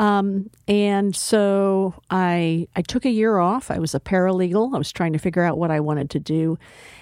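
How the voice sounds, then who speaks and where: In a very clean recording with a silent background, a woman with an American accent talks in a normal speaking voice, with ordinary pitch variation and hardly any pauses. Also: medium pitch for a woman, moderate pace. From Texas. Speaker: community college president. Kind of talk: interview.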